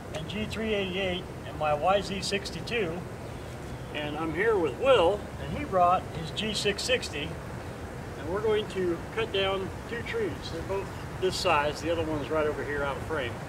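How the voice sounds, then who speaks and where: A man speaks at a very slow pace with long, frequent pauses. His voice is high-pitched with ordinary pitch variation, over noticeable background noise. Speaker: chainsaw channel host. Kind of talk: casual vlog chat. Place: garden.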